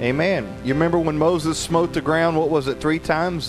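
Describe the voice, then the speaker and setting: This man keeps a fairly quick pace while clear music sounds behind him. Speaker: guest preacher. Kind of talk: sermon. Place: church. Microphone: handheld.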